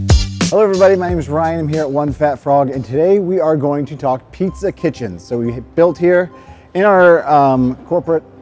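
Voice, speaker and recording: Faint music plays in the background. A man speaks over it at a moderate pace. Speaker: show host. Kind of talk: hosted how-to intro. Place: shop. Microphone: lapel.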